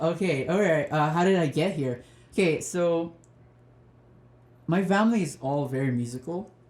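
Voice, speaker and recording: His tone is dark and mellow. This man's pitch moves in an ordinary way. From Madagascar, later Lesotho and southern Africa. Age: 20s. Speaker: musician and student teacher. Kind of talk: casual interview chat.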